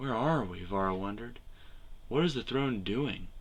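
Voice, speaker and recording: In a put-on character voice, a man speaks at a medium pitch and a moderate pace. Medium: read story. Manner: fierce, defiant.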